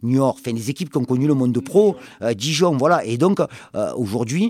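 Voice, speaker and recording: This man has a normal speaking voice at medium pitch, with lively intonation and a fairly quick pace. The sound is dry and close with no echo, on a very clean recording with a silent background. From southern France, Marseille. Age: 50s. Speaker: football coach. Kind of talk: long-form interview. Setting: club office or stadium.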